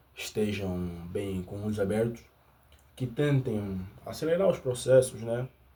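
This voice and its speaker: Here a man speaks with a fairly low pitch and ordinary pitch variation. His voice is somewhat breathy. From Angola. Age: 20s. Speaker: YouTuber. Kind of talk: unscripted monologue. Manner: halting.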